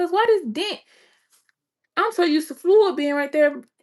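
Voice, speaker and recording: Animated in tone, a woman speaks at a fairly quick pace with lively intonation. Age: 30s. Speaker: vlogger. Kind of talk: casual vlog monologue.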